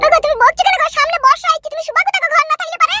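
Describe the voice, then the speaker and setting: In a put-on character voice, a woman squeaks at an extremely high pitch with very wide pitch swings. She races along at a very fast pace, and the sound is dry and close with no echo. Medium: cartoon. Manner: pleading, deferential.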